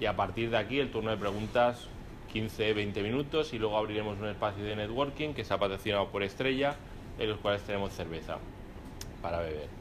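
At a fairly quick pace, a man talks in a fairly low pitch with ordinary pitch variation over noticeable background noise. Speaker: event host and interviewer at a law firm; event host, interviewer. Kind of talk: live event moderation and interview. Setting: room with live audience, no microphone. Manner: halting with repetitions. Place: hall. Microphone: speaking without microphone; camera far.

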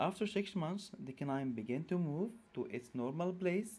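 The speaker talks at a moderate pace with an Arabic accent. The tone is dark and mellow. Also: man. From Egypt. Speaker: orthodontist. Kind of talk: lecture.

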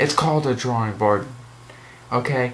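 Light background noise sits under a voice with lively intonation. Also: man. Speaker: video game vlogger. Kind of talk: casual rant commentary. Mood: annoyed, ranting. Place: home room. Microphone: webcam.

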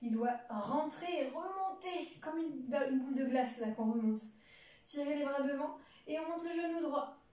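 A woman speaks at a high pitch and moderate pace, with ordinary pitch variation. Audible room echo surrounds her voice. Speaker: fitness instructor. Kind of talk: exercise class instruction. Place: home room. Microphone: camera far.

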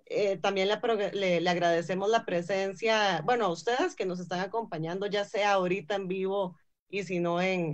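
In a quiet background, a woman talks at a moderate pace with hardly any pauses and ordinary pitch variation. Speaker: forum moderator. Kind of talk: film discussion forum. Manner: halting, repetitive. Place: home room. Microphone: video call.

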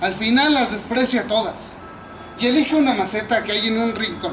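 Over noticeable background noise, a man talks at a fairly slow pace with an extremely high pitch. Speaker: actor in a staged scene. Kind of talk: theatrical monologue. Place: garden. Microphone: camera far.

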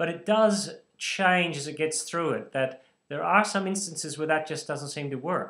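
Over a quiet background, a man with an Australian accent talks at a moderate pace, his tone bright and sharp and his intonation lively. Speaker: bible teacher. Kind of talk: lecture. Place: home room. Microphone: webcam.

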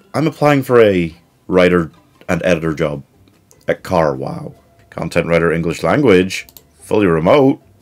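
Faint music plays behind a man whose very deep, low voice swings very widely in pitch as he talks at a moderate pace with long, frequent pauses. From United Kingdom. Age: 20s. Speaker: YouTuber and job seeker; YouTuber. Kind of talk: comedic vlog. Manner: animated. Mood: weary, sarcastic, frustrated. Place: home room.

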